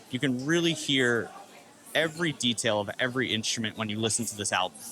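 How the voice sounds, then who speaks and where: Over music in the background, a man with an American accent talks at a very fast pace. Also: medium pitch for a man, ordinary pitch variation. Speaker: music podcast co-host, drummer. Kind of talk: casual chat.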